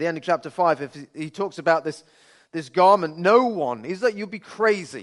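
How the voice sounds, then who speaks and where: Speech comes at a fairly quick pace with ordinary pitch variation over a quiet background. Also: man. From Birmingham, England. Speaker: pastor. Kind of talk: sermon.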